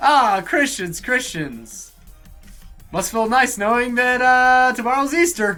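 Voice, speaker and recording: Someone puts on a character voice with a fairly high pitch, talking at a fairly slow pace over faint background music. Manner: sinister.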